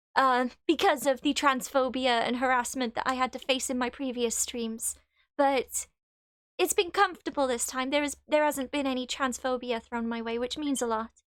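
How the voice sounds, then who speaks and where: A woman with a Welsh accent speaks at a high pitch and moderate pace on a very clean recording with a silent background. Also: fairly even intonation. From Wales. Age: 20s. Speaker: gaming live streamer. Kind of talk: casual live stream chat. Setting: live stream.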